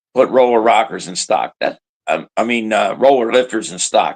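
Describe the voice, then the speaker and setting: This man's voice carries vocal fry. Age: 70s. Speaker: drag racing driver. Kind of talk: casual chat.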